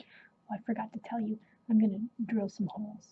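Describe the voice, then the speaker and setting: Soft-spoken delivery comes at a moderate pace. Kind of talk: ASMR show-and-tell.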